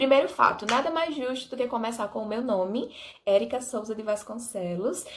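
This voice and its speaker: Speaking with an Alagoas accent, a woman uses an animated tone and a fairly high pitch at a moderate pace. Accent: Alagoas accent, noticeable. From Brazil, Alagoas (interior). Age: 20s. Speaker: vlogger. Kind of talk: casual vlog talk to camera.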